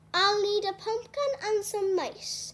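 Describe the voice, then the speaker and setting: A woman's put-on character voice, squeaky and extremely high-pitched, at a fairly slow pace. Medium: read story. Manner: warm, fussy, affectionate.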